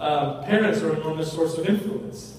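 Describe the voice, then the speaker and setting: Against noticeable background noise and audible room echo, a man with a fairly high pitch talks at a moderate pace with ordinary pitch variation. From Mexico. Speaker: university administrator and speaker. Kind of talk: lecture. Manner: repetitive, with false starts.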